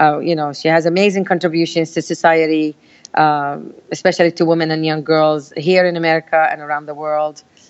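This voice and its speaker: A woman speaks with a Palestinian accent at a fairly quick pace. Her voice is very deep and low. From Palestine, village. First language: Arabic. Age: 50s. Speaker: community activist. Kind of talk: interview. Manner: animated.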